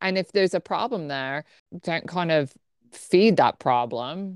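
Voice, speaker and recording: In a dry, close sound with no echo, a woman with a plain, everyday voice speaks at a fairly slow pace, her pitch fairly low and her intonation lively. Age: 40s. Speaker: podcast co-host, wellness coach and Pilates instructor. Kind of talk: casual chat.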